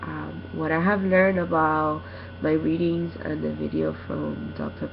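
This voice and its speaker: Noticeable background noise can be heard. The speaking pace is fairly slow. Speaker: student. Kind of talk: recorded class presentation. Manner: halting, many fillers.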